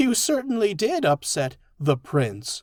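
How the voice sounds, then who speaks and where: A man puts on a character voice pitched high. He talks at a fairly slow pace. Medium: read story.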